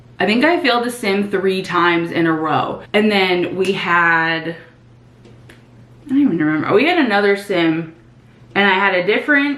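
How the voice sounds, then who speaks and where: A woman's bright, sharp voice with very wide pitch swings and audible room echo. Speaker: nursing student and vlogger. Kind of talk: casual chat, get ready with me vlog. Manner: casual, filler-heavy.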